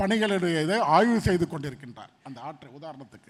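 With ordinary pitch variation, a man talks in a high pitch. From Chennai, Saidapet. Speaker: deputy mayor, politician. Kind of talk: conference interview on stage.

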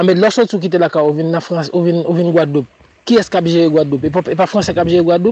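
Light background noise sits under a dry sound with no echo. A man speaks in a high pitch. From Haiti. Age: young. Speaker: caller. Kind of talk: phone-in opinion. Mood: indignant, critical.

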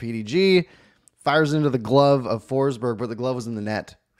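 The speaker is a man whose pitch varies in an ordinary way. The background is quiet. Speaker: podcast host. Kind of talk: casual sports commentary chat. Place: home room. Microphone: studio mic.

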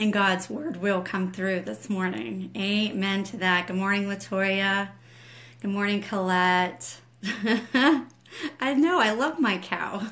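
A woman at a medium pitch speaks very slowly with ordinary pitch variation, and the room echo is audible. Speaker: ministry leader and home school mom. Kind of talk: livestream devotional chat. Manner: quiet, trying not to wake husband.

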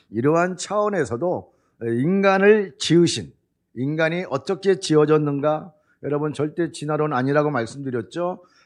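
Against a quiet background, a man with a fairly high pitch talks at a moderate pace in an unremarkable speaking voice with ordinary pitch variation. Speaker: pastor. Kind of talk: sermon.

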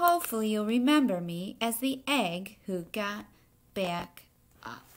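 A woman speaks at a medium pitch with lively intonation. Her pace is fairly slow.

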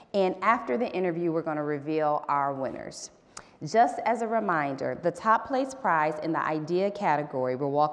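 A woman talks at a moderate pace. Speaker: event host. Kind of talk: host announcement. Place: stage.

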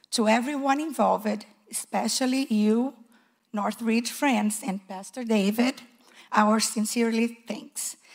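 In a non-native accent, a woman speaks at a fairly slow pace, somewhat breathy and nervous in tone, with fairly even intonation and a quiet background. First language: not English. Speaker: preschool teacher. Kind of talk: testimony. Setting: church. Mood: warm, grateful. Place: church. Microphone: handheld.

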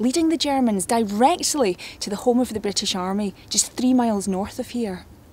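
In a somewhat breathy voice, a woman speaks at a moderate pace, the sound dry with no echo. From Scotland. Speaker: TV presenter. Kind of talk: history documentary presenting. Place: waterside. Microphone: lapel.

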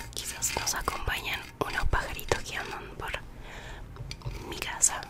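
The pace is fairly slow. A woman whispers throughout. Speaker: ASMR artist. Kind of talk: ASMR triggers, soft close-mic talk to viewer. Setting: recorded at home at siesta time, birds nearby. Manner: soft, intimate. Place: home room.

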